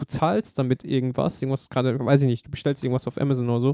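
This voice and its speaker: Speaking at a very fast pace, a man with a medium pitch and a dark, mellow tone keeps his intonation fairly even in a dry, close sound with no echo. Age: 20s. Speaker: podcast host. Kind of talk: casual chat.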